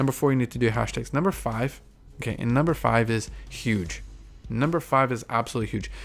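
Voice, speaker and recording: A man races through his words very fast. Background music accompanies him. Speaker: podcast host. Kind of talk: solo podcast monologue, advice talk. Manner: halting with self-corrections.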